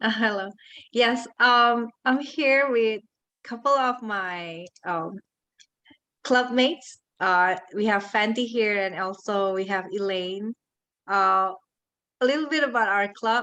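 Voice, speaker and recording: At a very slow pace with long, frequent pauses, a woman with a non-native accent speaks in a fairly high pitch and a bright, sharp tone, using ordinary pitch variation. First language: not English. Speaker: club member. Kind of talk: short club presentation. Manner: halting, with fillers.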